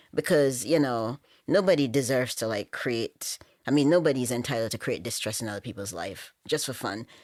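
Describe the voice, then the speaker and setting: In a Jamaican accent, the voice has lively intonation and big swings in loudness. The recording is very clean, with a silent background. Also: woman, very deep, low pitch for a woman, fairly quick pace. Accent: Jamaican, moderate. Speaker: podcast guest. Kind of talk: casual chat.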